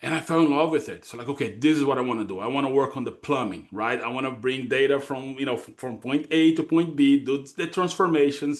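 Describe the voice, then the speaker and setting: A man with a Brazilian accent, fairly high-pitched, very fast and with hardly any pauses, ordinary pitch variation and big swings in loudness. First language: Portuguese. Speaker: data consulting executive. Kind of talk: podcast interview. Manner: halting, many fillers.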